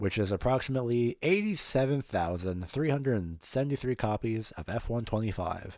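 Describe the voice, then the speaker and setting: With lively intonation, a man speaks in a very clean recording with a silent background. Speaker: motorsport podcaster. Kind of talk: solo podcast recap. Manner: fast.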